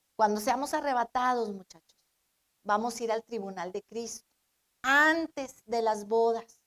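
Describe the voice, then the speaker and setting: Her fairly high pitch and ordinary pitch variation come through a plain, everyday voice as this woman speaks at a fairly slow pace, with a dry, close sound with no echo. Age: 60s. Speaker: pastor. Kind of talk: sermon.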